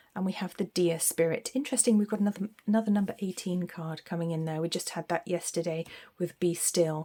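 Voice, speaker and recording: A woman with a British accent speaks fairly quickly in a fairly low voice. Her tone is dark and mellow, with ordinary pitch variation. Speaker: tarot reader. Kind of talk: tarot reading. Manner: hesitant, many fillers.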